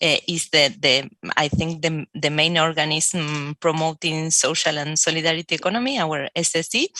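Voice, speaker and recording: With an Argentine accent and a very deep, low pitch, a woman talks at a moderate pace with hardly any pauses, ordinary pitch variation and very even loudness, in a dry, close sound with no echo. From Argentina, Buenos Aires. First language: Spanish. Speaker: researcher and university lecturer. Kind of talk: self-introduction on a panel. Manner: halting.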